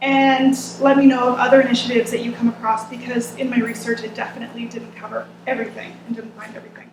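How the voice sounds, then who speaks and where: A woman's fairly high voice at a very fast pace, monotone and flat in intonation, with big swings in loudness. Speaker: researcher presenting a report. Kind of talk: presentation.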